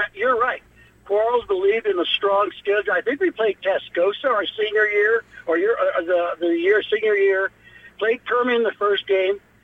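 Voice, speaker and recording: Speaking at a moderate pace with an American accent, a man uses a high-pitched voice with ordinary pitch variation. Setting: phone call.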